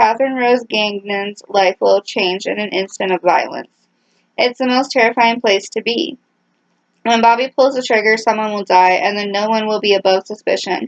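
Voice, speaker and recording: A woman with an unremarkable speaking voice talks at a moderate pace, her fairly high pitch moving with ordinary variation. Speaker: book vlogger. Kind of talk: book blurb read aloud.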